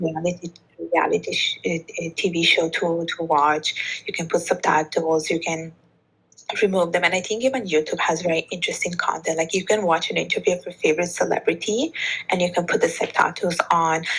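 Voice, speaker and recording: A woman with a slight Italian accent speaks at a fairly quick pace. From Bangladesh. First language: Bengali. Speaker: author and podcast host, polyglot. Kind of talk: interview conversation.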